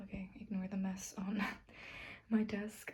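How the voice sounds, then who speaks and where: A soft-spoken woman's somewhat breathy, medium-pitched voice with a dark, mellow tone at a fairly slow pace. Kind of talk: soft-spoken ASMR bookshelf tour.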